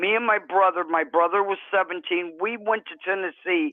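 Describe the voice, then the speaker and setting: Medium pitch and ordinary pitch variation in a woman's normal speaking voice. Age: 60s. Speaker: true crime panelist. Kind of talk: casual chat. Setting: live stream panel.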